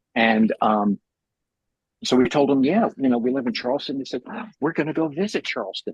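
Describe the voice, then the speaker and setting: A man with medium pitch and ordinary pitch variation speaks in a plain, everyday voice, the sound dry and close with no echo. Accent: American. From New York City, Manhattan Upper West Side. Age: 60s. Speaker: artist and meeting host. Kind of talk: casual chat. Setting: video call.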